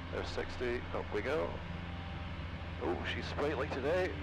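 Loud background noise surrounds a man's voice. The sound is dry, with no echo. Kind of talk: cockpit callouts and radio talk. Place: plane. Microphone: headset.

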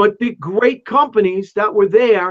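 The sound is dry and close with no echo, the tone fairly bright, and the pace moderate. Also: man.

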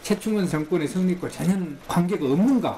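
This man's voice is high-pitched, with ordinary pitch variation. Light background noise can be heard. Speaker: history professor. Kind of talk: interview. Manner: halting. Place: studio. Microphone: studio mic.

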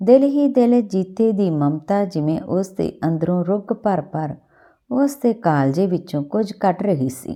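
At a fairly slow pace, a woman's medium-pitched voice carries a dark, mellow tone and lively intonation.

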